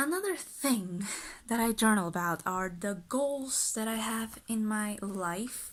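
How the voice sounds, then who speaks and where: A woman with a Spanish accent, very slow, with ordinary pitch variation. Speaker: lifestyle vlogger. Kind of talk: casual vlog talk. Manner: casual, chatty.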